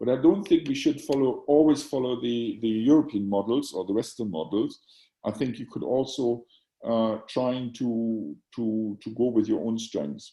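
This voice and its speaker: With a German accent, a man talks at a moderate pace with lively intonation. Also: medium pitch for a man. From Germany. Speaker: psychiatry professor and journal editor. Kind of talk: Q&A after lecture. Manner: halting, many repetitions.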